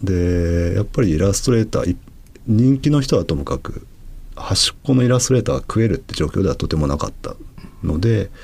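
A man's fairly low, somewhat breathy voice with very wide pitch swings at a fairly quick pace. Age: 40s. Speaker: manga artist. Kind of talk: interview conversation.

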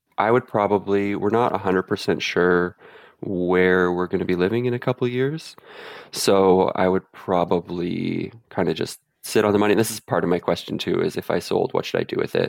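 A man with a Canadian accent speaks at a fairly quick pace and a fairly low pitch, with ordinary pitch variation. His is a plain, everyday voice, heard in a dry, close sound with no echo against a quiet background. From central Canada. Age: 30s. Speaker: caller seeking financial advice. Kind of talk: advice call on a podcast.

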